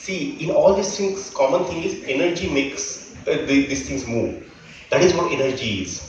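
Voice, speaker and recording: A man in a Marathi accent at a moderate pace, with noticeable background noise. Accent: Indian English, Marathi. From Maharashtra, India. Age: 40s. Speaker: scientist. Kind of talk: speech to students. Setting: school event with audience.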